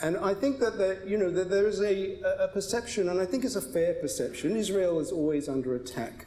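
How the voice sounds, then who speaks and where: Delivered at a moderate pace with very wide pitch swings, the voice has a British accent, with audible room echo and noticeable background noise. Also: man. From Britain. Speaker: advocacy group spokesman. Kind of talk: panel debate. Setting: synagogue stage with audience.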